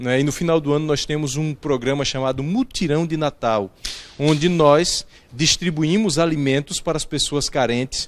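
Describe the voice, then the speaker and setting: With ordinary pitch variation, the speaker talks at a moderate pace. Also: man, fairly high pitch for a man. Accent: northeastern Brazilian. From Alagoas, northeastern Brazil. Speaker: pastor. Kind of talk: interview. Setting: church.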